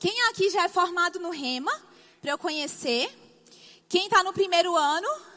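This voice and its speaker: A woman with a northeastern Brazilian accent uses a raised, projected voice at an extremely high pitch. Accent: Brazilian Northeastern, drawling. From Brazilian Northeast. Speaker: bible school teacher. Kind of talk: sermon-style lecture. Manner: drawling.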